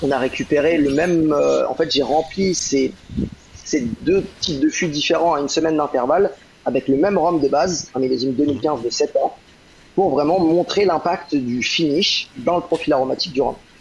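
Noticeable background noise sits behind a man with a fairly high pitch and ordinary pitch variation. He keeps a moderate pace and very even loudness. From Brittany, France (Rennes). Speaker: rum distillery brand ambassador. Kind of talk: podcast interview. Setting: live online broadcast.

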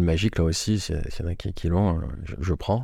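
The speaker goes at a fairly slow pace with ordinary pitch variation, in a very clean recording with a silent background. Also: man. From Marseille, southern France. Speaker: entrepreneur. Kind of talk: interview.

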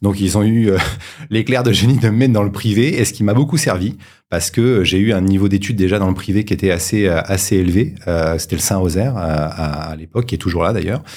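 A man talks at a fairly quick pace in an ordinary speaking voice, fairly low in pitch, with ordinary pitch variation. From Paris suburbs, France (Sarcelles, Val-d'Oise). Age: 40s. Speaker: entrepreneur, former finance director. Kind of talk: interview. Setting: studio.

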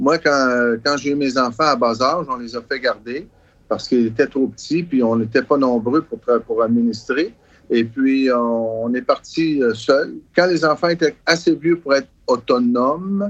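With a plain, everyday voice, a man speaks at a fairly slow pace, keeping a medium pitch with ordinary variation. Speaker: travelling carnival owner. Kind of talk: interview recollections.

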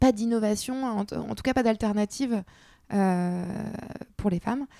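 Dark and mellow in tone, a woman speaks at a fairly slow pace with ordinary pitch variation in a dry, close sound with no echo. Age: 30s. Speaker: entrepreneur. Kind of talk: interview. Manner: halting.

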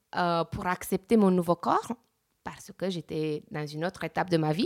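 The pitch variation is ordinary. The sound is dry and close, with no echo. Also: woman. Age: 30s. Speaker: real estate agent sharing plastic surgery experience. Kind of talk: testimony. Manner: halting, many hesitations.

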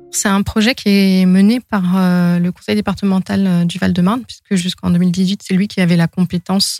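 An unremarkable speaking voice goes at a moderate pace with fairly even intonation. The sound is dry and close with no echo. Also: woman. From France, Seine-Saint-Denis and Brittany. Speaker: environmental consultant. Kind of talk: interview monologue.

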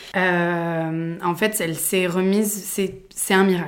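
A woman at a medium pitch speaks in a flat monotone, with audible echo from the room. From Provence, southern France. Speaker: podcast host, yoga teacher. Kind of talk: personal storytelling monologue. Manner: hesitant, many fillers.

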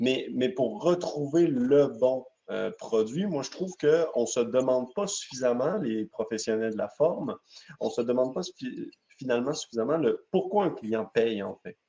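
A man with a slight Québécois accent speaks at a fairly slow pace. His tone is dark and mellow, and his intonation lively. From Quebec. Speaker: podcast host, company president. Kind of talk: casual chat. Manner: halting, many fillers.

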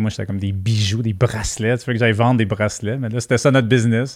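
A man's medium-pitched voice with a Quebec accent and fairly even intonation, on a very clean recording with a silent background. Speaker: entrepreneur. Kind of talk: interview.

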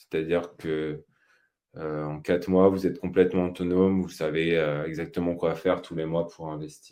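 Against a quiet background, a man with a very deep, low voice and a dark, mellow tone speaks in a flat monotone, his loudness swinging widely. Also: moderate pace. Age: 30s. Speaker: personal finance podcaster. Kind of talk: live webinar on investing. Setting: live stream. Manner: hesitant, many fillers.

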